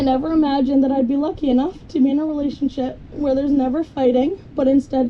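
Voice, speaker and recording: Against noticeable background noise, a woman speaks at a high pitch with fairly even intonation. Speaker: bride. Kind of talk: wedding vows. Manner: fast.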